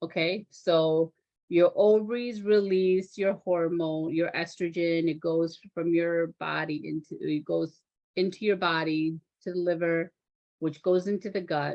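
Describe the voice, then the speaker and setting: This speaker talks at a fairly slow pace with a non-native accent. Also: woman, fairly low pitch for a woman. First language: not English. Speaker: physician assistant. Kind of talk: online health talk. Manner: animated; halting over medical terms.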